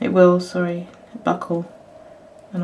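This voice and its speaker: Mumbling at a moderate pace, a woman speaks in a monotone, flat intonation amid noticeable background noise. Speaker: crafter and illustrator. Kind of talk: tutorial. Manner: halting.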